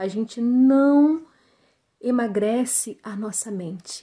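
Her voice is somewhat breathy, with a dark, mellow tone. This woman's pitch sits fairly high and varies in an ordinary way. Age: 30s. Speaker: weight-loss program student. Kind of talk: testimonial. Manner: hesitant, many fillers.

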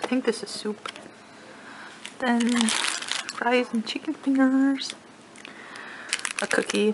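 A woman speaks at a very slow pace with a high pitch and long, frequent pauses. Noticeable background noise runs underneath. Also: fairly even intonation. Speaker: expectant mother in labour. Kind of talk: casual vlog talk to camera. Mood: relaxed, smiling. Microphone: phone near.

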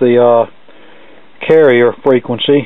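A man speaks at a moderate pace with monotone, flat intonation. The sound is dry with no echo, and the background is quiet. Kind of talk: tutorial commentary. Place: workshop. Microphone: phone near.

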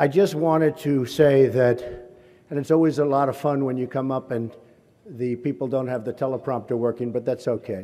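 A man's dark, mellow voice moves at a moderate pace with ordinary pitch variation. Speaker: speaker. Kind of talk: public speech. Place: hall. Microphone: podium.

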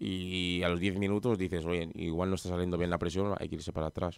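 With a slight Madrid accent, the voice comes through dry and echo-free against a quiet background. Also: man. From Madrid, Spain; Spain. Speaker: professional footballer; guest. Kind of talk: radio interview. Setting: radio studio. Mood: relaxed, modest. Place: studio. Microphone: studio mic.

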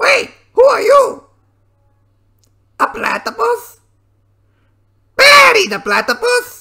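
A cartoonish character voice moves at a fairly slow pace, broken by long, frequent pauses. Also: man. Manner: theatrical, villainous.

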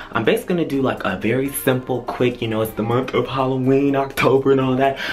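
Faint music sits in the background. A man speaks at a very fast pace. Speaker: vlogger. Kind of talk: casual vlog chat. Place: home room. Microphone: phone near.

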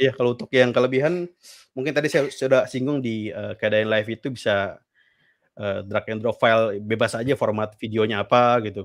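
A man's pitch varies in an ordinary way, and the background is quiet. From Jakarta, Betawi; Jakarta. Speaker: UI/UX designer; guest. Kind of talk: casual interview chat on a live stream. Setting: live stream call. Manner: halting, many fillers. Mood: relaxed, casual. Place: home room. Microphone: studio mic.

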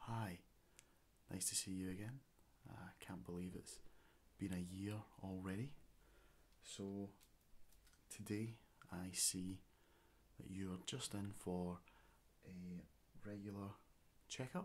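Soft-spoken and gentle in tone, a man with a fairly low pitch talks very slowly with long, frequent pauses and ordinary pitch variation. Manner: soft, gentle ASMR-style speech. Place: home room.

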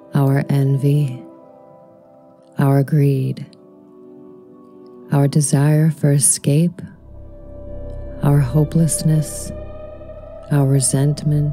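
With music in the background, a woman speaks very slowly in a very deep, low voice, her intonation monotone and flat, her loudness very even, and her speech broken by long, frequent pauses. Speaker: poet. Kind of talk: spoken word poetry reading.

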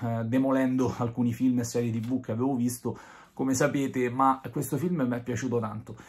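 A man talking at a fairly quick pace. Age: 30s. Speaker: film reviewer. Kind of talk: video review monologue. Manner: hesitant, many fillers. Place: home room. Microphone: phone near.

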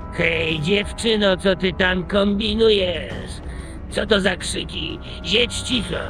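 A cartoonish character voice sits at a middle pitch. Loud background noise runs underneath it. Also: fairly slow pace. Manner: curt, commanding.

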